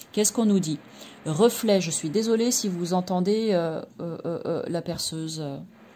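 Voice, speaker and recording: A woman talks at a fairly slow pace with a fairly low pitch and ordinary pitch variation. Her tone is dark, mellow and somewhat breathy. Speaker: tarot card reader and energy therapist. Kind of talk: product review and card presentation. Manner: hesitant, many fillers; soft-spoken.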